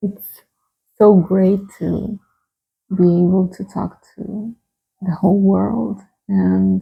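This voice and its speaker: Dark and mellow in tone, this somewhat breathy voice moves at a very slow pace with fairly even intonation, long, frequent pauses, and a Brazilian Portuguese accent. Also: woman. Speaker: tarot reader. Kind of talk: tarot reading. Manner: hesitant, with many fillers.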